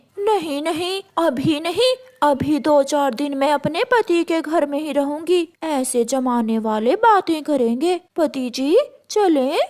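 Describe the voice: A woman puts on a cartoonish character voice, high in pitch and at a fairly slow pace.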